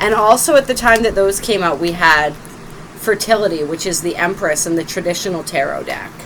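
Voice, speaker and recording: A woman with lively intonation at a moderate pace, amid noticeable background noise. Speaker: tarot reader. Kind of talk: tarot reading. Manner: loud.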